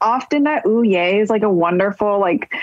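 A woman talks with an American accent at a moderate pace. Her pitch is medium. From Northern California, Marin County. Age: 30s. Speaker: audio producer. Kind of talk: casual chat.

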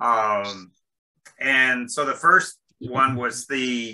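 Ordinary pitch variation marks a man's speech. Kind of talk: meeting discussion. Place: home room. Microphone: video call.

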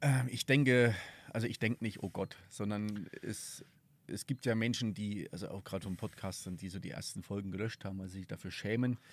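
The speech moves at a fairly quick pace with ordinary pitch variation and a dry sound with no echo. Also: man, fairly low pitch for a man. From southern Thuringia, Germany. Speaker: podcast host, tourism events organizer; podcast host. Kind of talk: casual interview. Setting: outdoors at a mountain hut. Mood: relaxed, reflective. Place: open country. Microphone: studio mic.

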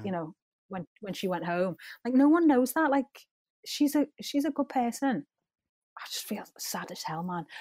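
In a Liverpool accent, a woman with a high pitch and a dark, mellow tone swings very widely in pitch and leaves long, frequent pauses, in a dry, close recording with no echo. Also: moderate pace, big swings in loudness. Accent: Scouse. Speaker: pop singer. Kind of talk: interview answer. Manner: chatty.

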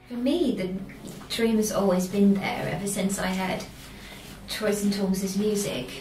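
A woman talks at a fairly slow pace with ordinary pitch variation and long, frequent pauses. Audible room echo and light background noise are present. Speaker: singer. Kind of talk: band interview. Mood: calm, warm. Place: meeting room. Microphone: camera far.

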